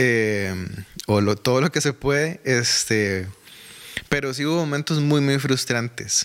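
Through noticeable background noise, a man talks at a very slow pace with very even loudness, a medium pitch and ordinary pitch variation. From Costa Rica, Desamparados. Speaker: church administrator and music minister. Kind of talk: casual interview.

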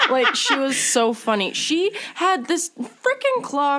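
A woman's voice swings very widely in pitch. Noticeable background noise runs behind her. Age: 20s. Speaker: podcast host. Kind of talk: casual chat.

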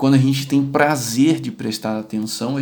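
A man speaks at a moderate pace in a plain, everyday voice. His pitch is medium, with ordinary pitch variation. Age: 30s. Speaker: neuropsychologist and podcast host. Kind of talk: casual interview and educational talk.

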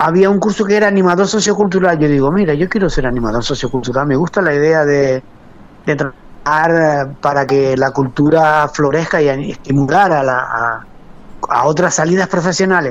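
Here is a man with a normal speaking voice, fairly high in pitch, talking at a moderate pace with ordinary pitch variation. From Canary Islands, Lanzarote (Arrecife). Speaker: master potter. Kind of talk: interview.

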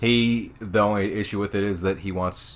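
Here is a man with a normal speaking voice. His pitch is fairly low, with ordinary pitch variation. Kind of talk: casual chat.

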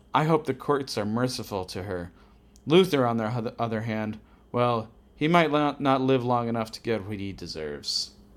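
A man with an American accent and a plain, everyday voice at medium pitch, in a very clean recording with a silent background. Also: lively intonation, moderate pace. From New Orleans then Ohio. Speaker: co-host friend, comics novice. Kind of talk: casual chat.

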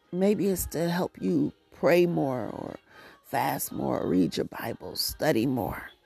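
Against music in the background, a woman with a very deep, low pitch speaks at a very slow pace, her pitch swinging very widely. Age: 50s. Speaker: prayer podcast host. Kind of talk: prayer; devotional monologue.

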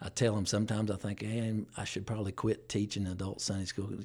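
A somewhat breathy, fairly low-pitched man with an Appalachian accent. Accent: Southern US (Appalachian). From East Tennessee (Johnson City). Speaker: church deacon and musician. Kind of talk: testimony.

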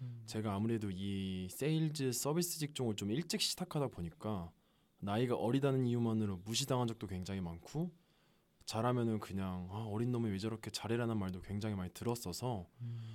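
An unremarkable speaking voice from a man, medium in pitch, with lively intonation at a fairly quick pace. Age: 20s. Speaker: salesperson. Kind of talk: casual chat. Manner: formal.

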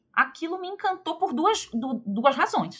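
This woman's pitch swings very widely as she talks. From Rio de Janeiro, Brazil. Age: 40s. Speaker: history professor. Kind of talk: interview.

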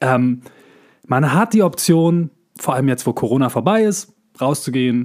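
Lively intonation marks this man's voice, which sits at a medium pitch. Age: 40s. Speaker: actor and voice actor, podcast co-host. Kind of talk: casual chat. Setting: remote recording.

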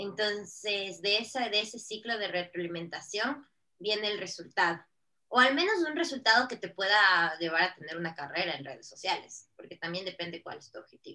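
In a normal speaking voice, a woman at medium pitch talks at a moderate pace, her intonation lively and her loudness swinging widely. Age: 30s. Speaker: digital marketing consultant. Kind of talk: podcast interview.

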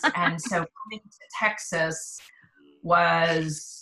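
In an American accent, a woman speaks with monotone, flat intonation and a bright, sharp tone. Her pitch is fairly low. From US East Coast (Pennsylvania/Maryland). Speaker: business leader and consultant. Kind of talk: casual interview.

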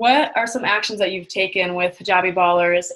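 A woman's plain, everyday voice, medium in pitch, at a fairly quick pace. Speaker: podcast host. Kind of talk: casual interview chat.

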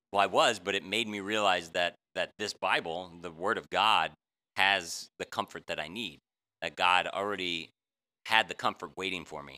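A man with a bright, sharp tone and fairly low pitch speaks at a moderate pace with fairly even intonation and big swings in loudness, in a very clean, dry, close recording with no echo and a silent background. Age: 50s. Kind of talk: Bible teaching in casual chat. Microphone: audio glitches from new setup.

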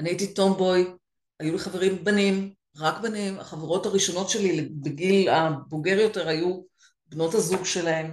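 This woman uses a normal speaking voice at medium pitch, moving at a moderate pace with fairly even intonation. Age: 50s. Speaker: career and business coach for women. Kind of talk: interview.

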